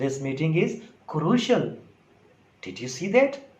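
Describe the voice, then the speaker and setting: A man with a Sindhi accent at a very slow pace. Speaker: English teacher on video. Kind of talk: casual tutorial talk to camera.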